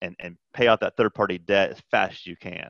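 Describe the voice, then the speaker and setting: Fairly quick speech, dry and close with no echo, over a quiet background. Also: man. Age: 40s. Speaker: accountant. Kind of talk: casual chat.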